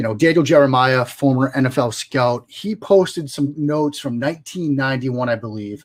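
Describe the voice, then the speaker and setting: A man speaks in a Boston accent with a medium pitch. His intonation is lively and his pace moderate. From US Northeast, Boston area. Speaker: football analyst. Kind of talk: interview.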